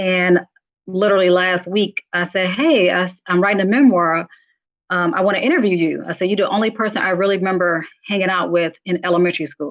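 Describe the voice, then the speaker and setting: Talking fairly quickly, a woman uses a medium pitch and ordinary pitch variation. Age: 40s. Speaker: memoir author and YouTuber. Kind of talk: casual vlog commentary. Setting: phone call. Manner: fast.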